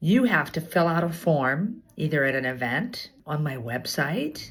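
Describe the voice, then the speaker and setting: A somewhat breathy woman with a fairly low pitch speaks at a fairly slow pace with lively intonation. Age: 60s. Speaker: insurance agent. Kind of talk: casual direct-to-camera talk.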